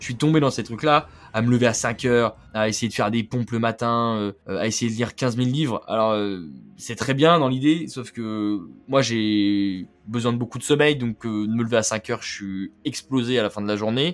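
Man at a medium pitch and moderate pace, ordinary pitch variation, on a very clean recording with a silent background. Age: 20s. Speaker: podcast host, young entrepreneur. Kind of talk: casual monologue. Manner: casual, conversational.

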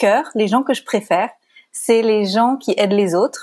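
A woman at a very slow pace and medium pitch, dark and mellow in tone, with ordinary pitch variation. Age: 30s. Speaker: life coach. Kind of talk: casual interview.

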